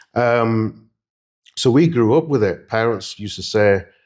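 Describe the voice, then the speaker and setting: This man speaks with a Yorkshire accent. His pitch varies in an ordinary way. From Leeds, northern England. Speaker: interviewee. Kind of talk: interview; personal testimony. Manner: hesitant, many fillers.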